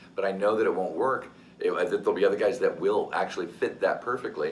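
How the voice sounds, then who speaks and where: Noticeable background noise and audible room echo surround a man who talks very fast. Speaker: voice actor. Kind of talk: interview.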